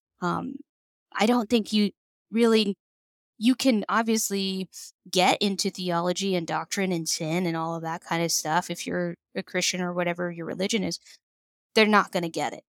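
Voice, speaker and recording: A woman's medium pitch with ordinary pitch variation at a moderate pace, long, frequent pauses, a dry, close sound with no echo and a very clean recording with a silent background. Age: 30s. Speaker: psychologist. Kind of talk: casual interview.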